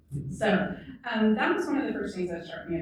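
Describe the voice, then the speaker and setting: The woman is heard with noticeable background noise and audible room echo in the recording. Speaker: university literature scholar. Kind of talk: moderated panel conversation. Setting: museum event with live audience. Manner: soft-spoken.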